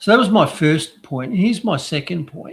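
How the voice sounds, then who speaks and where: A man with an Australian accent. His voice is somewhat breathy. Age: 60s. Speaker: doctor and news commentator. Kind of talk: casual chat. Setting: live stream.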